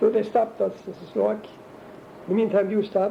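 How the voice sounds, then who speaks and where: A man speaks at a moderate pace with a German accent. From Germany. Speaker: interviewee recounting life story. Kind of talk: oral history interview. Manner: halting.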